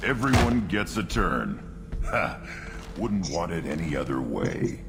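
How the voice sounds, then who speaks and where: Amid loud background noise, a man puts on a character voice with a very deep, low pitch and a fairly slow pace. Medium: video game. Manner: blunt, aggressive.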